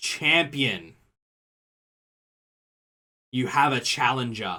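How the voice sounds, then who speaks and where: A man's loud, booming put-on character voice at medium pitch, with ordinary pitch variation and a very slow pace. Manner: booming, announcing.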